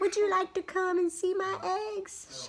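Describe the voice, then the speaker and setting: In a put-on character voice, a woman talks at a moderate pace, squeaky and extremely high in pitch. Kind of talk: bedtime story. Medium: read story.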